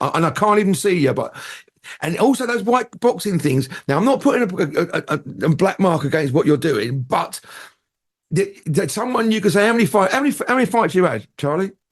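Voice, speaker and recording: At a fairly quick pace, a man with a southern English accent speaks high in pitch, in an animated tone with very wide pitch swings. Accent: southern English, London-area. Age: 60s. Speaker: entertainer and radio presenter. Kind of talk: casual chat.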